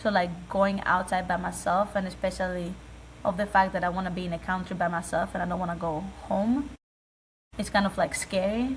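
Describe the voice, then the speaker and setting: A woman talks at a fairly quick pace with vocal fry. Her intonation is fairly even. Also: medium pitch for a woman. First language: not English. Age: 20s. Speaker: college basketball player. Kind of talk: interview. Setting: video call.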